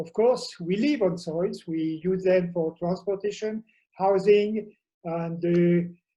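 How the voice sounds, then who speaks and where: A man with a French accent and a dark, mellow tone speaks fairly slowly in a high pitch with ordinary pitch variation. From France. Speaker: professor. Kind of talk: conference talk. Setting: remote video presentation from home. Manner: halting, many fillers.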